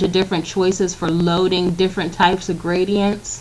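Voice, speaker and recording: A woman's medium-pitched voice comes out in a monotone, flat intonation with noticeable background noise around it. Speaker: graphic design tutorial maker. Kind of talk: screen-recorded software tutorial. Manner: casual with fillers.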